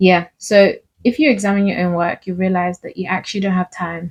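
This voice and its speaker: A woman with an ordinary speaking voice, medium pitch, fairly even intonation, and a fairly quick pace. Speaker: faith and self-help vlogger. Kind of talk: casual motivational talk.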